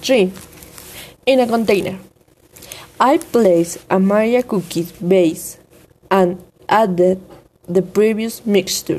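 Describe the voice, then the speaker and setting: A woman with a Spanish accent speaks very slowly at a medium pitch, with very even loudness, ordinary pitch variation, and long, frequent pauses. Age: 20s. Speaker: student. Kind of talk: reading aloud. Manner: formal.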